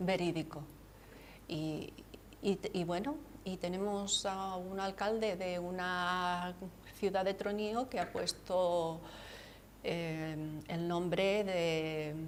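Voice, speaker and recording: A woman speaks at a very slow pace and medium pitch, with fairly even intonation and long, frequent pauses. Noticeable background noise sits behind her. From Andalusia, Cádiz (Campo de Gibraltar). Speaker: author. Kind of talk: TV interview.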